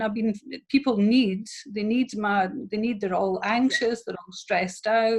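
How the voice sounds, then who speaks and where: Pitch varies in an ordinary way while the delivery proceeds at a fairly slow pace. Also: woman. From Scotland. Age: 50s. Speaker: therapist and women's empowerment coach. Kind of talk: interview. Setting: video call.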